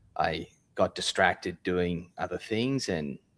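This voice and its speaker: With an Australian accent, a man speaks. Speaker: software company founder. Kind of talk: live interview. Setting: office, live stream.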